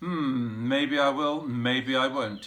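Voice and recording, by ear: A man puts on a gruff character voice at medium pitch. His intonation stays fairly even.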